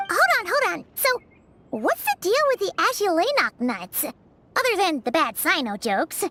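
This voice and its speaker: A put-on character voice at an extremely high pitch makes very wide pitch swings at a moderate pace, with music in the background. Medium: video game. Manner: inquisitive, blunt.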